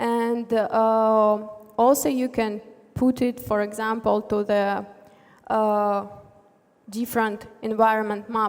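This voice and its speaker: A woman with a Russian accent, fairly high in pitch, fairly even in intonation, at a very slow pace. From Russia, Tver. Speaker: front-end developer. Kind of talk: conference talk. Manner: halting, many fillers.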